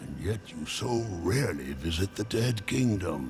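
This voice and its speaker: Using a put-on character voice, a man swings his very deep, low pitch very widely, with clear background noise behind him. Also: moderate pace. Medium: video game. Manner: slow, musing, punctuated by hums.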